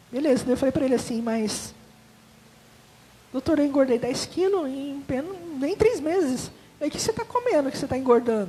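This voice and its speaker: A woman speaks in a high pitch with lively intonation, leaving long, frequent pauses. Background noise is noticeable. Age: 40s. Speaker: testimony giver at church. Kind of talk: testimony.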